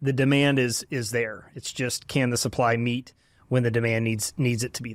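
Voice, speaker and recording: In a Texan accent, a man with a medium pitch speaks at a moderate pace in a flat monotone, his loudness swinging widely. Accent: Texan American. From Texas, Dallas area. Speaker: company founder and CEO. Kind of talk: interview.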